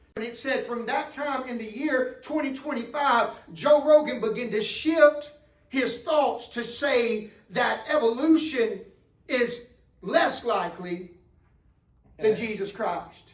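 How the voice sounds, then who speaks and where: A man speaks at a very slow pace with an extremely high pitch, ordinary pitch variation and big swings in loudness. Noticeable background noise runs behind him. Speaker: preacher, church pastor. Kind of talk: sermon delivered to a congregation.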